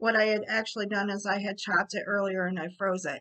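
A woman's bright, sharp tone at a moderate pace over a quiet background. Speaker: cooking show host. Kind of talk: tutorial. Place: kitchen. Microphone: webcam.

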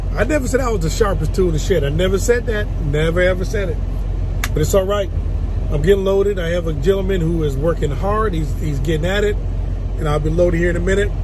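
In a dry sound with no echo but noticeable background noise, a man talks at a very fast pace. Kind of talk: casual vlog chat. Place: car. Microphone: phone near.

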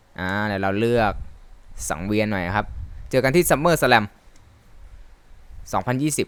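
Using an ordinary speaking voice, a man talks with lively intonation. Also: fairly low pitch for a man. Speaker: gamer and Thai dub commentator. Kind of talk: live game commentary. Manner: casual, friendly.

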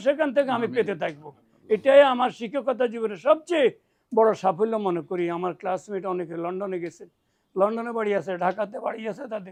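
The speaker is a man. His intonation is lively. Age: 70s. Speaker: madrasa teacher, Islamic scholar. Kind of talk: religious advice. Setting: at a private home.

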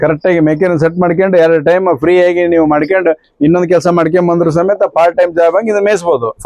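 Keeping his loudness very even, a man with a high voice talks with fairly even intonation, recorded with a dry, close sound with no echo. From Koppal district, North Karnataka. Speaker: farmer. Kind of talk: interview.

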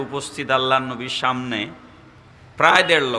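A man speaks with audible room echo. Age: 40s. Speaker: Islamic preacher. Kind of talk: sermon. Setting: outdoor religious gathering over PA system. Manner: loud.

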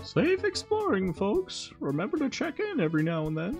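A put-on character voice with a fairly high pitch, delivered at a moderate pace. Clear music plays in the background. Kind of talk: comic video game voice-over. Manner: upbeat, folksy, friendly.

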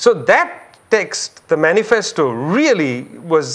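High-pitched for a man, his voice rises and falls in very wide swings. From India, Calcutta. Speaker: public intellectual, author. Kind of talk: interview. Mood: reflective, engaged. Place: studio. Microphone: lapel.

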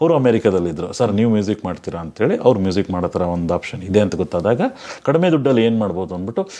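A man's voice sits fairly low in pitch, with a dark, mellow tone. His intonation is lively. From Bengaluru, Karnataka, India. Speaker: filmmaker. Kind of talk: interview.

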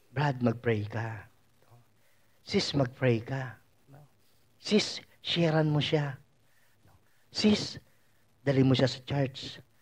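A man speaks very slowly, his voice somewhat breathy. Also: ordinary pitch variation. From Philippines. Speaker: preacher. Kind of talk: sermon. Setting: church. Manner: animated, conversational preaching with frequent 'no?' tag questions. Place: hall.

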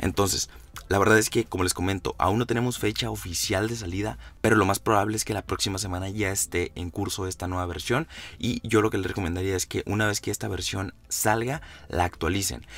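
Speaking at a fairly low pitch, the man's voice carries vocal fry. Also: ordinary pitch variation, fairly quick pace. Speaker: tech YouTuber. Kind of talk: tutorial.

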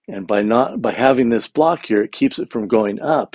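Here a man is speaking. He goes at a fairly quick pace. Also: quiet background, dry sound with no echo. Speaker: contractor. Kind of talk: walkthrough explanation. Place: home room. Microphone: phone near.

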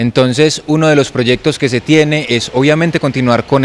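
At a moderate pace, a man talks. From Colombia, Medellín. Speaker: dance instructor. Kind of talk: interview statement. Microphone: handheld.

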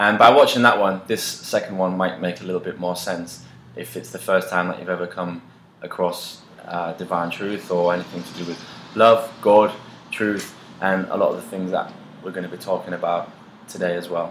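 A man's very deep, low voice at a moderate pace, with fairly even intonation, audible room echo and light background noise. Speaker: co-host. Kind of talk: casual vlog chat. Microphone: camera far.

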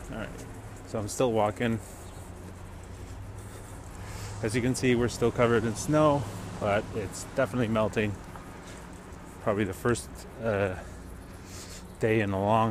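A man speaks with fairly low pitch and fairly even intonation at a moderate pace, pausing often and at length. The sound is dry with no echo, and background noise is noticeable. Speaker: vlogger. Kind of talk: casual vlog chat. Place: street. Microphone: earbuds.

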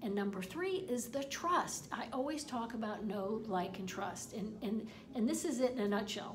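A woman speaks at a moderate pace with lively intonation. Audible room echo and noticeable background noise surround her voice. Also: fairly high pitch for a woman. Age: 50s. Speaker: online marketing coach. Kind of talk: tutorial. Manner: halting, repeats words.

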